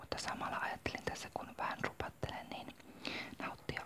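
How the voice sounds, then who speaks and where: Whispering at a moderate pace, a woman can be heard against noticeable background noise. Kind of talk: ASMR whispered talk about makeup. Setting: home, morning coffee. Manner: whispered, soft-spoken.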